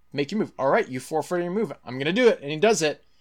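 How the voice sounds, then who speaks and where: A man's voice with vocal fry and ordinary pitch variation, on a very clean recording with a silent background. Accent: American. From Texas. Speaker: film enthusiast podcast guest. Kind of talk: casual chat.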